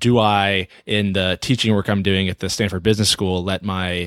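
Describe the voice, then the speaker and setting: A man with a plain, everyday voice speaks at a moderate pace in a fairly low pitch with fairly even intonation, recorded dry and close with no echo against a silent background. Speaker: podcast host and coach. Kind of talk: casual conversation.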